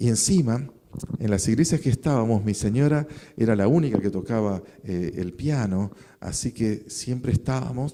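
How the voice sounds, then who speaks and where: The man has a dark, mellow tone and a medium pitch. He talks at a moderate pace with lively intonation. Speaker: pastor. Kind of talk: sermon.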